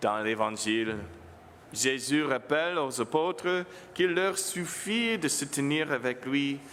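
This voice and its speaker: In an English accent, a man speaks at a very slow pace with lively intonation. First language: English (speaking French). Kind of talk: homily. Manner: halting, self-correcting.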